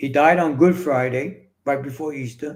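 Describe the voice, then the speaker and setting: A man with a New York accent speaks at a moderate pace in a fairly high voice, with ordinary pitch variation and audible room echo. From New York City. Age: 60s. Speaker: author and fitness coach. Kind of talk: casual interview, personal storytelling.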